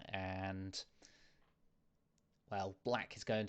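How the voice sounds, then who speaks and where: The man talks with a quiet background behind him. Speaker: chess club streamer and commentator. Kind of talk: live chess commentary. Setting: live stream. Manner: hesitant with many fillers.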